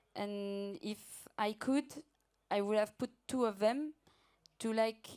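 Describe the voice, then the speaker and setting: In a French accent, a woman talks at a fairly slow pace with a fairly high pitch and ordinary pitch variation, captured in a very clean recording with a silent background. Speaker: client project manager. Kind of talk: conference Q&A.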